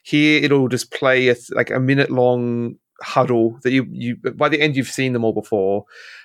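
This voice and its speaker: The voice has an Australian accent and fairly even intonation at a moderate pace. The sound is dry and close, with no echo. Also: man, medium pitch for a man. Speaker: podcast host. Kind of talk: casual chat.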